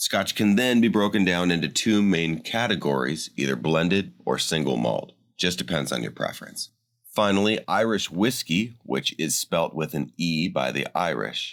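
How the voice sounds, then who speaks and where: A man's very deep, low voice with vocal fry and very wide pitch swings, at a moderate pace, in a very clean recording with a silent background. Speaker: voice actor. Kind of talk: scripted narration. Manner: explainer style.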